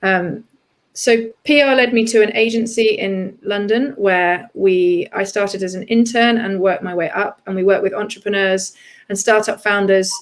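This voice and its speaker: A woman speaks with a British accent at a moderate pace. Her intonation is fairly even. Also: medium pitch for a woman. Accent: English (UK). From southeast England. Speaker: PR and communications executive. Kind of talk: interview conversation.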